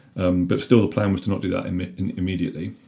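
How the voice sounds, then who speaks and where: The man's voice has a very deep, low pitch and a dark, mellow tone. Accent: British. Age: 30s. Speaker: father talking about parental leave. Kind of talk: casual chat. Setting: in person at home.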